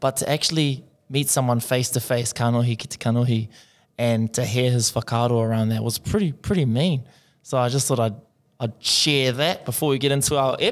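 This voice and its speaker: At a fairly quick pace, a man with a New Zealand accent speaks at medium pitch with fairly even intonation and very even loudness, in a very clean recording with a silent background. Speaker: podcast co-host, Māori language student. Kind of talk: casual chat.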